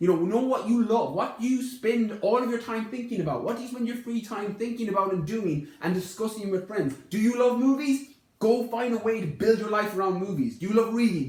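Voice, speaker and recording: A man with a high pitch talks fairly quickly in an animated tone with ordinary pitch variation and hardly any pauses. Noticeable background noise sits behind him. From Ireland, Connemara (west of Ireland). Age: 20s. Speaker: fitness podcast host. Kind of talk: casual podcast conversation. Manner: animated, emphatic.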